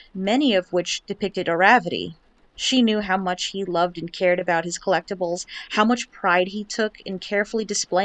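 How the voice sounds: Natural voice, reading aloud.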